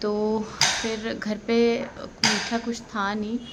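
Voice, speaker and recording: Audible room echo and noticeable background noise accompany a woman speaking at a fairly high pitch. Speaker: family vlogger. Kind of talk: casual vlog talk.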